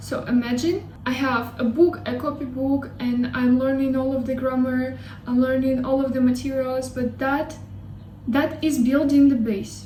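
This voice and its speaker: Noticeable background noise and audible room echo surround a woman speaking in a Russian accent. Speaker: language learning YouTuber. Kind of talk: casual vlog talk. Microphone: poor sound quality.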